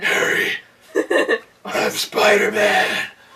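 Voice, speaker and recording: An extremely high-pitched, put-on character voice. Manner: awkward, trying too hard.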